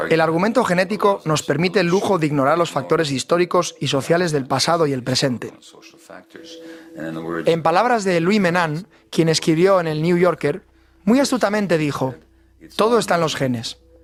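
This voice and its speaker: A man's high voice at a moderate pace, with ordinary pitch variation, long, frequent pauses and music in the background. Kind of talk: documentary dub.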